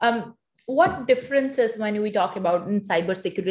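This woman's voice is somewhat breathy, with lively intonation. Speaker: podcast host. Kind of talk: interview.

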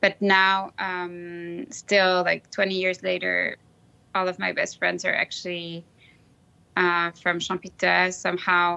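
Speaking very slowly in a French accent, a woman with a fairly low pitch and a bright, sharp tone keeps a monotone, flat intonation against a quiet background. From Switzerland, Lausanne; grew up in Brazil. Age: 40s. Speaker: alumna, professional services employee. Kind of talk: casual interview, conversational. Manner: hesitant with frequent fillers.

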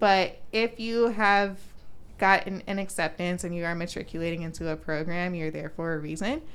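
A woman with an American accent speaks at a fairly low pitch, with audible room echo. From Florida, Orlando. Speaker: medical student. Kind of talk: casual chat.

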